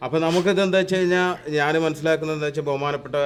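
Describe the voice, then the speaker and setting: A man speaks with a fairly high pitch. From Kerala, Malappuram district. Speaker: local resident, expatriate worker. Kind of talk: interview. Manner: halting.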